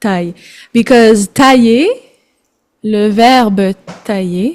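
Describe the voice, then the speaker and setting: In a Quebec French accent, a woman speaks at a very slow pace with a fairly high pitch and ordinary pitch variation, on a very clean recording with a silent background. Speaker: French tutor. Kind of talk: casual language lesson. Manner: code-switching French and English.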